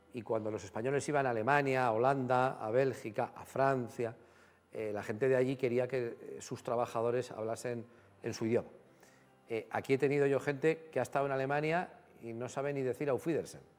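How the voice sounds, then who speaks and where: With faint music in the background, a man speaks at a fairly quick pace with fairly even intonation. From Spain, Guadalajara. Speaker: TV talk show host. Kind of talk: TV studio interview. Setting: TV studio with audience. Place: studio. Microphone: lapel.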